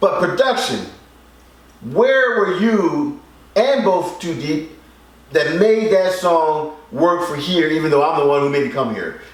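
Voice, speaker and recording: Someone speaks at a fairly slow pace with very wide pitch swings and long, frequent pauses, with audible room echo around the voice. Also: man, high pitch for a man. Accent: Philadelphia. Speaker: record label executive and show host. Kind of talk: casual music critique chat.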